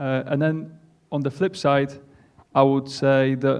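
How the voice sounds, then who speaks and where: With a Polish accent, a man talks at a very slow pace in a fairly high pitch. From Poland. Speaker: football coach. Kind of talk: panel Q&A.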